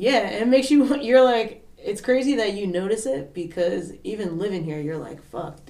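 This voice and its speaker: A woman with a Philadelphia accent speaks at medium pitch, with hardly any pauses, very wide pitch swings and big swings in loudness. Audible room echo and noticeable background noise surround her. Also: moderate pace. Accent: Philly. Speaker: podcast guest. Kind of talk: casual chat. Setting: basement studio.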